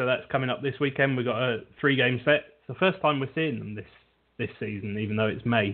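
A man speaks with a British accent at a moderate pace. His pitch varies in an ordinary way. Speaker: sports podcast host. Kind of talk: casual chat. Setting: internet radio show.

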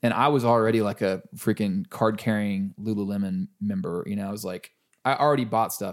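A man with a plain, everyday voice talks at a fairly quick pace and fairly low pitch with ordinary pitch variation, captured in a very clean recording with a silent background. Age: 40s. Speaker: musician. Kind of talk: casual chat. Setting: dining room at home.

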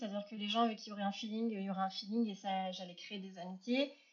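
Speaking at a very fast pace, a woman has a fairly high pitch. Her voice is somewhat breathy. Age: 30s. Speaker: entrepreneur, consultant. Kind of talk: casual interview.

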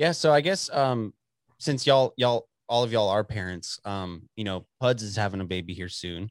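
In a Texan accent, a man talks at a moderate pace and a fairly low pitch with lively intonation. The sound is dry and close with no echo, in a very clean recording over a silent background. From Texas, Dallas. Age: 20s. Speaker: podcast host. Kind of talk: casual chat.

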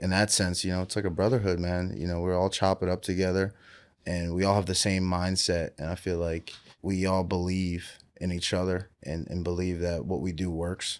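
A man with an American accent and a very deep, low pitch talks in a monotone, flat intonation in a very clean recording with a silent background. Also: moderate pace. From Pennsylvania, Willow Grove. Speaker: professional football player. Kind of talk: interview.

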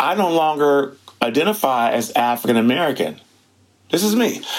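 At a moderate pace, a man with a fairly high pitch speaks in very wide pitch swings. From Detroit, US Midwest; raised in Seattle area. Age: 60s. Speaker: museum curator and storyteller. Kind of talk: interview.

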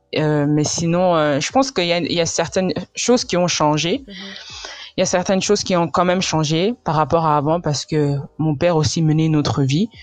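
A fairly low-pitched woman at a moderate pace, with ordinary pitch variation and noticeable background noise. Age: 20s. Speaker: pastor's daughter, churchgoer. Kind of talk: testimony.

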